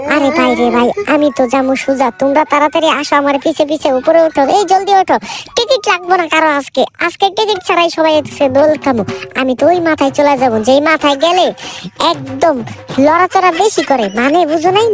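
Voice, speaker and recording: A put-on character voice at high pitch and moderate pace, with clear background noise. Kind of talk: comic rhyming banter in public. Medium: role play. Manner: funny, playful.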